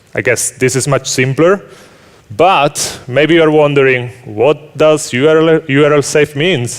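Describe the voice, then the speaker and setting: A man with an Italian accent speaks at a fairly slow pace, his fairly high pitch showing ordinary variation. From Italy. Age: 30s. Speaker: software engineer. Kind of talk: conference talk. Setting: stage with audience.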